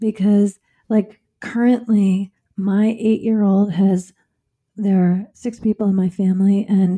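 A somewhat breathy, dark, mellow tone in monotone, flat intonation at a fairly slow pace, with a dry, close sound with no echo in a very clean recording with a silent background. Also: woman. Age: 50s. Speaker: relationship and intimacy expert, former physician. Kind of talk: podcast interview.

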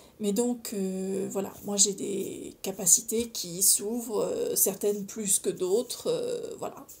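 A woman talks at a very slow pace, with hardly any pauses. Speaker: video blogger on personal development and spirituality; video blogger on personal development. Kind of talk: casual solo monologue to camera, sharing personal experience; casual vlog chat. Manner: informal, chatty, hesitant with many fillers. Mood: calm, earnest, reflective. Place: home room. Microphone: phone near.

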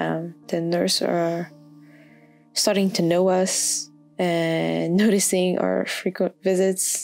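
Over music in the background, a woman with a non-native accent speaks very slowly in a fairly low pitch, her intonation monotone and flat. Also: very even loudness. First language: not English. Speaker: intern. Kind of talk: personal journal reading. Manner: hesitant, soft-spoken.

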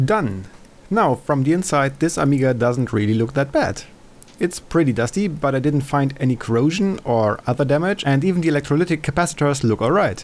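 In a normal speaking voice, a man with a fairly high pitch keeps his loudness very even while his intonation stays lively. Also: fairly quick pace. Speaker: retro computer hobbyist. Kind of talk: casual tutorial narration.

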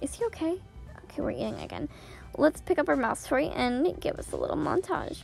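Over music in the background, a woman with a squeaky voice talks at a moderate pace. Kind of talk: casual video game update narration.

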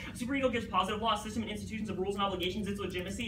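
Through noticeable background noise, a man projects a raised, high-pitched voice at a very fast pace. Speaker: high school debater. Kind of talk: competitive debate speech. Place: classroom. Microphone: camera far.

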